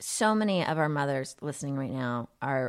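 Speaking at a fairly slow pace with an American accent, this voice comes through on a very clean recording with a silent background. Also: woman. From Texas. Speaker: parenting podcast host. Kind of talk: scripted podcast intro; casual interview chat. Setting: recorded at host's home. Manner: animated.

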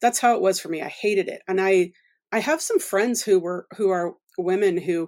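Speaking at a fairly quick pace in a medium pitch, a woman with an American accent and a normal speaking voice comes through in a very clean recording with a silent background. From US South, Louisiana and Oklahoma. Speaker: author. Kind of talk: casual interview.

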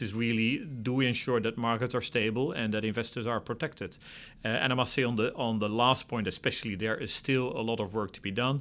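On a very clean recording with a silent background, a man with a Dutch accent speaks at a very fast pace, at medium pitch and with fairly even intonation. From Netherlands. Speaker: financial regulator. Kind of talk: interview.

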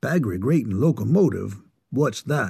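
A man puts on a gruff character voice at a medium pitch. His pitch swings very widely at a moderate pace. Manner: disgusted, puzzled.

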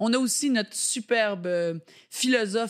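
Against a very clean recording with a silent background, a woman uses an unremarkable speaking voice with ordinary pitch variation at a moderate pace. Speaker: podcast host. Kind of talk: casual chat.

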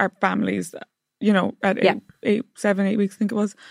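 A woman with an Irish accent, medium pitch, vocal fry and fairly even intonation, in a dry, close sound with no echo. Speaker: lifestyle blogger. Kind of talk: casual chat.

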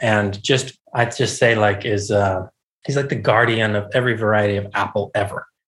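A man with an American accent, medium-pitched and somewhat breathy. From US South, Charleston, South Carolina. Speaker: chef. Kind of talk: casual interview.

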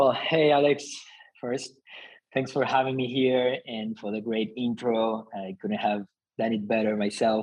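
With a Spanish accent, a man speaks at medium pitch with fairly even intonation. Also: fairly slow pace. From Argentina. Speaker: company founder. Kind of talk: interview.

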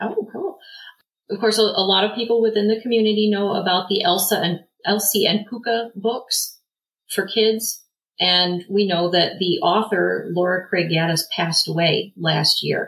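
A woman speaks at a moderate pace in an ordinary speaking voice, her pitch medium. Her intonation is fairly even and her loudness very even. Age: 40s. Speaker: pagan group leader and military spouse. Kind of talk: interview.

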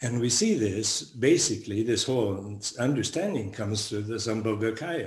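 Somewhat breathy, a man talks at a moderate pace with hardly any pauses. Audible room echo surrounds him. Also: medium pitch for a man, ordinary pitch variation. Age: 70s. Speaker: Buddhist monk and teacher. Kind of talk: dharma talk.

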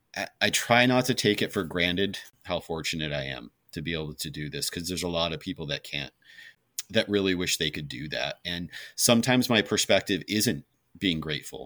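A man talks at a fairly quick pace in a very deep, low pitch with vocal fry and a bright, sharp tone. His intonation is lively, and the recording is very clean with a silent background. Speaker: recovering alcoholic and ultrarunner. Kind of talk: personal testimony in interview.

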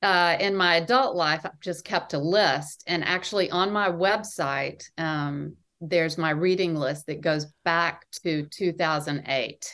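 A woman with an American accent speaks at a fairly slow pace in a fairly low pitch, her tone bright and sharp, her pitch varying in an ordinary way and hardly any pauses between words. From US South. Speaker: novelist. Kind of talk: interview. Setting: at home by the water.

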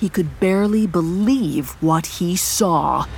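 A woman speaks in a dramatic tone. Music plays in the background. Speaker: narrator of audio drama. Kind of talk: scripted narration, dramatic horror storytelling. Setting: studio. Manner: measured, ominous, dramatic.

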